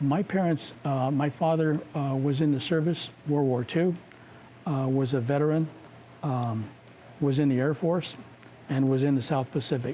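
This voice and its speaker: The voice is dark and mellow, with an American accent and fairly even intonation. It moves at a moderate pace with long, frequent pauses and very even loudness. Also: man, fairly high pitch for a man. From Washington State, US. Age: 70s. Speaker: community leader. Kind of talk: interview. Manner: halting, many fillers.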